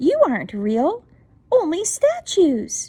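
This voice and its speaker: A woman speaks at a fairly slow pace in a put-on character voice. Her pitch is extremely high and squeaky, with very wide swings. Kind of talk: bedtime story. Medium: read story.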